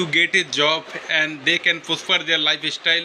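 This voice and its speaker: Over noticeable background noise, a man with a Bengali accent speaks at a moderate pace in a high pitch for a man. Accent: Bengali-accented Indian English. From West Bengal, India. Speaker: English learner. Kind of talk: casual chat.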